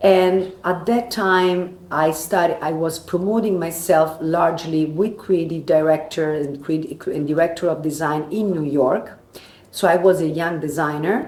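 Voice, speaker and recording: In a Roman accent, a woman speaks at a fairly low pitch and fairly slow pace with fairly even intonation, an audible room echo around her. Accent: Italian (Roman) accent in English. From Italy, Rome. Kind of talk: interview. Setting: live at a trade fair. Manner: halting.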